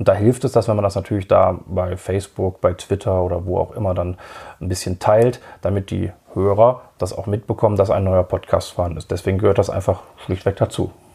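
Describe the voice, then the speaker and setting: Somewhat breathy and dark in tone, a man's fairly low, mellow voice moves at a fairly quick pace with fairly even intonation. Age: 40s. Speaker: podcast host and radiologist. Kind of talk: casual interview as guest on own podcast.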